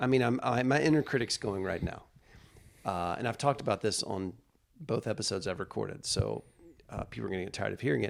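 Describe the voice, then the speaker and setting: Talking at a very fast pace, a man with a fairly low pitch and vocal fry keeps his intonation lively. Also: very clean recording, silent background. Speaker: comedian and podcast host. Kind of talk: casual chat.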